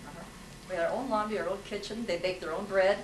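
Against noticeable background noise, a woman with an American accent sounds nervous and animated, her pitch varying ordinarily. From Ukrainian American, US. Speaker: Army nurse veteran. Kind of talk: talk about wartime memories. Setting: live talk with audience. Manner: nervous, animated, humorous. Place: hall. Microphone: camera far.

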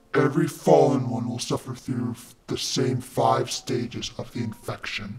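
Putting on a raspy character voice, a man talks at a moderate pace in a medium pitch, with a slight echo around him. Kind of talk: clinical lecture. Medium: fan dub. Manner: calm, measured, grave.

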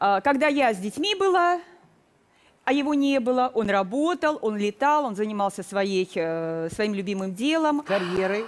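A woman speaks at a fairly high pitch and a fairly slow pace. Her pitch swings very widely. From southern Russia, Krasnodar region; Russia. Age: 50s. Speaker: retired educator, makeover participant; retired educator. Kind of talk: TV talk show testimony. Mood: defensive, explaining. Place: studio. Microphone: headset.

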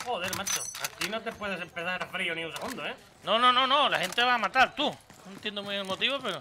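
Raising and projecting his voice, a man talks at a very fast pace and high pitch with ordinary pitch variation over light background noise. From Spain. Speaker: gaming streamer. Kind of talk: live gameplay commentary. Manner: animated. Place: home room.

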